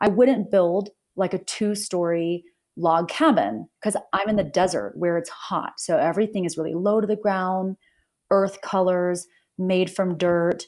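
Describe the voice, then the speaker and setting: An ordinary speaking voice with an American accent talks at a fairly slow pace and ordinary pitch variation. The background is quiet. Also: woman, medium pitch for a woman. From US South. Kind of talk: casual interview chat.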